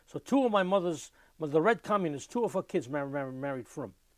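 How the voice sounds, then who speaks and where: On a very clean recording with a silent background, a man with a New York accent and a fairly high pitch talks at a fairly quick pace with lively intonation. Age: 70s. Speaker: klezmer musician. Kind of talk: oral history interview. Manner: repetitive, stuttering restarts.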